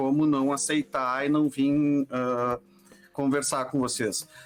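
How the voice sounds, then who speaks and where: Music plays in the background as a man talks. His pitch is fairly high and his intonation fairly even. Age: 40s. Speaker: journalist and audiovisual producer. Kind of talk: podcast interview. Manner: halting, many fillers.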